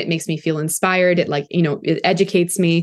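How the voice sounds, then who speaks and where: In a Canadian accent, a woman with an ordinary speaking voice and fairly low pitch talks at a fairly quick pace. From Canada, Toronto. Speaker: content creator. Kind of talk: casual chat.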